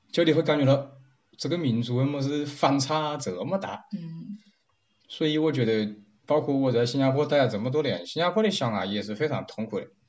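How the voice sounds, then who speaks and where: Talking at a fairly quick pace, a man with a Wuhan accent uses a fairly high pitch and lively intonation. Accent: Wuhan-accented Mandarin. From Wuhan, China. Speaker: interviewee. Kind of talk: casual chat. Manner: animated.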